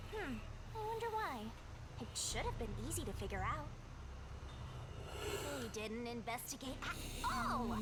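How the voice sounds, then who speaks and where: The speaker uses a put-on character voice at a moderate pace. Loud background noise is present. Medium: game stream. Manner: brusque, breezy, impatient.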